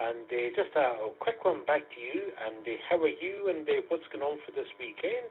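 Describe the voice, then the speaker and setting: With a Scottish accent, a man speaks at a moderate pace with hardly any pauses and big swings in loudness. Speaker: amateur radio net controller. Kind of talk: radio net chat. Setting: amateur radio net via online conference.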